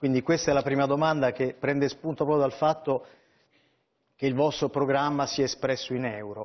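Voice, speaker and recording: With fairly even intonation, a man talks at a fairly quick pace and a fairly high pitch, leaving long, frequent pauses. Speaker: newspaper columnist. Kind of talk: political TV interview.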